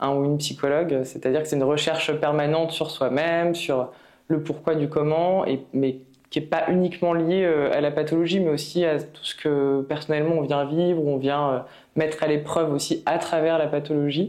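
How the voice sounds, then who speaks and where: A woman with a very deep, low pitch and a dark, mellow tone speaks at a moderate pace in a monotone, flat intonation, her loudness very even. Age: 30s. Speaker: patient with multiple sclerosis. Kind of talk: testimony. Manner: halting, many hesitations.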